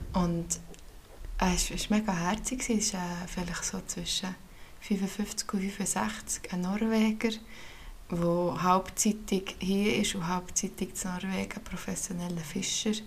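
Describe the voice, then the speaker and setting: A woman at medium pitch, very slow, with fairly even intonation and long, frequent pauses. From Switzerland, canton of Bern. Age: 30s. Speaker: podcast co-host. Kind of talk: casual chat.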